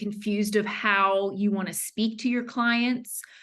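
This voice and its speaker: A woman's bright, sharp voice at a medium pitch, with a Southern US accent and fairly even intonation. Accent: Southern US, lighter than her mother's. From US South. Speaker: branding consultant. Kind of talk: podcast interview. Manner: frequent fillers and self-restarts.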